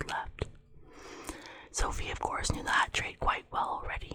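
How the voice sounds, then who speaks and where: Clear background noise surrounds a whisper delivered at a moderate speed. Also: woman. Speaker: ASMR creator. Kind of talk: ASMR whisper reading of a novel to help sleep. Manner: whispered.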